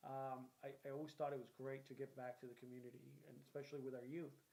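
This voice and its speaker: A man at a medium pitch and a fairly quick pace. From Puerto Rico, then Boston from age eleven. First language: Spanish. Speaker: local politician, former mayor and army veteran. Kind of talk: interview.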